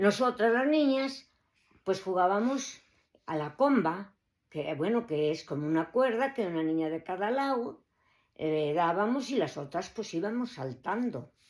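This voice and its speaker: On a very clean recording with a silent background, a woman of medium pitch speaks at a fairly slow pace with very wide pitch swings. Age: 70s. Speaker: grandmother recalling childhood. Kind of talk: oral history recollection. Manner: halting, many fillers.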